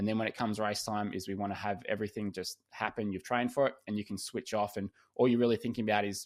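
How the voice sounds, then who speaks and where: In a very clean recording with a silent background, a man with an Australian accent talks fairly quickly in a fairly low, monotone, flat voice. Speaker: swim coach and podcast host. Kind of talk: podcast interview.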